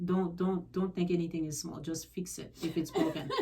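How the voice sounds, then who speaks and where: A woman's fairly low, monotone, flat voice amid noticeable background noise. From Haiti. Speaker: realtor. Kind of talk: radio interview.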